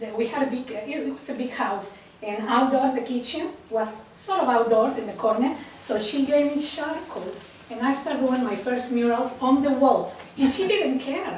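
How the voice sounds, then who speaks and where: A woman with a Mexican accent speaks at a moderate pace and a high pitch. Noticeable background noise and audible room echo are both present. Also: ordinary pitch variation. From Mexico. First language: Spanish. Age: 60s. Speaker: printmaking artist. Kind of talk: personal talk to a group.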